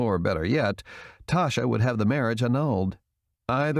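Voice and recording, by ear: With a quiet background, the passage is read aloud in a natural voice, its intonation lively.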